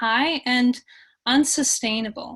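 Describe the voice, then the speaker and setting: A woman speaks at a very slow pace with a high pitch. Her intonation is fairly even, and the background is quiet. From US Midwest, Minnesota. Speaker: bee researcher. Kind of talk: lecture. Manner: hesitant, many fillers.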